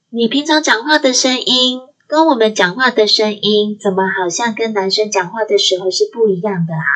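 This woman has an unremarkable speaking voice, fairly high in pitch, with lively intonation and a moderate pace. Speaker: podcast host, aromatherapy and NLP teacher. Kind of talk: solo podcast monologue. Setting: recording alone at home.

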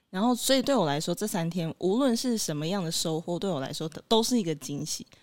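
Recorded very cleanly against a silent background, a woman with an unremarkable speaking voice talks at a moderate pace, her fairly low voice carrying lively intonation. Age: 20s. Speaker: podcast co-host. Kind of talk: casual chat.

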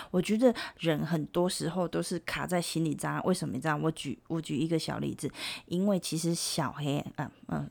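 On a very clean recording with a silent background, the speaker has an animated tone and vocal fry, with ordinary pitch variation at a moderate pace. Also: woman, very deep, low pitch for a woman. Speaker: podcast co-host. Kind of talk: casual chat. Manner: animated, lots of laughter.

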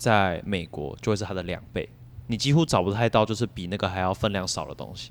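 In a normal speaking voice, a man speaks at a fairly quick pace and a fairly low pitch. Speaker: podcast host and graduate student. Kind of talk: casual chat.

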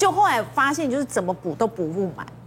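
A woman speaks. Her pace is fairly quick. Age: 40s. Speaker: aesthetics consultant, former nurse. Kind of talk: TV talk show chat.

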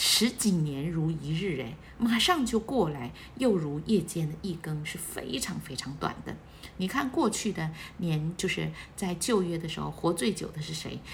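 A woman speaks at a fairly slow pace and a fairly low pitch. Her tone is animated and her intonation lively. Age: 40s. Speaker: church member leading weekly bulletin study. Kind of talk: bible study talk.

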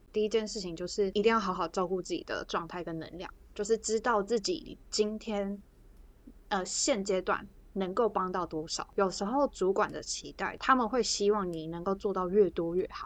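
A woman with a plain, everyday voice talks at a moderate pace, her medium pitch varying in an ordinary way. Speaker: podcast co-host. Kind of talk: casual chat.

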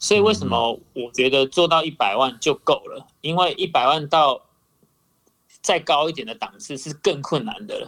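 A man talks at a fairly high pitch with vocal fry. His loudness shifts in big swings. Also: lively intonation, moderate pace. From Taiwan. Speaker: YouTuber. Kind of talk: casual chat.

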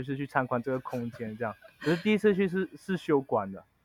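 A man talks against a quiet background. The sound is dry and close, with no echo. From Malaysia (Chinese Malaysian). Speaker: picture book author and story museum director. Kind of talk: interview. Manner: halting, many fillers.

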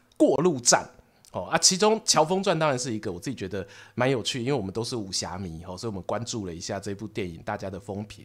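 In a very clean recording with a silent background, the voice races at a very fast pace with an animated tone, very wide pitch swings and big swings in loudness. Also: man, medium pitch for a man. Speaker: podcast host and storyteller. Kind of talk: casual chat.

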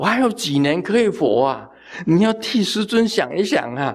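A man's moderately paced speech carries lively intonation. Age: 70s. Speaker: Buddhist master teaching sutras. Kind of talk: dharma talk. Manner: casual with frequent filler particles.

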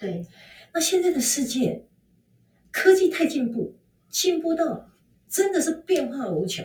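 Very wide pitch swings at a fairly slow pace, broken by long, frequent pauses. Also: woman, high pitch for a woman. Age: 50s. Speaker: fashion consultant. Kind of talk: interview.

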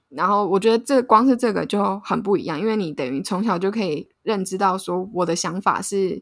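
A woman speaks fairly quickly with a Taiwanese accent. Her pitch is medium and varies in an ordinary way. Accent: Taiwanese Mandarin. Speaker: podcast co-host. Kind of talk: casual chat.

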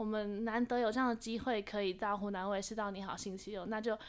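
A woman with a Taiwanese accent speaks at a fairly quick pace with ordinary pitch variation. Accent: Taiwanese Mandarin. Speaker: university student and actress. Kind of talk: interview.

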